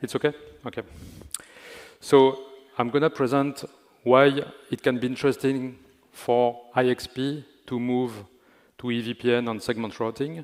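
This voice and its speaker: With a French accent, a man speaks in a monotone, flat way, leaving long, frequent pauses. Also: medium pitch for a man, moderate pace. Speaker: network engineering manager. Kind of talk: conference talk.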